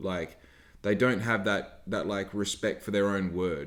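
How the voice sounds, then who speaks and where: Fairly low in pitch, a man talks with an Australian accent. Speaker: podcast host, small business owner. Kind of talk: casual podcast talk.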